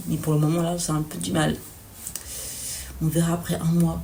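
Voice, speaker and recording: A woman talks at a moderate pace. Audible room echo and noticeable background noise fill the recording. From Belgium. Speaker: student vlogger. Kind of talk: vlog. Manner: hesitant.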